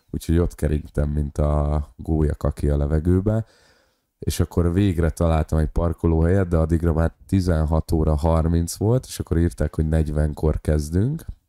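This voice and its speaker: A man's very deep, low voice carries a dark, mellow tone and fairly even intonation. He moves at a moderate pace in a dry, close sound with no echo. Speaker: podcast co-host and stand-up comedian. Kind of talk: casual chat.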